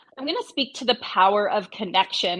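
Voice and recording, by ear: A woman talks at a moderate pace with a medium pitch and a fairly bright tone.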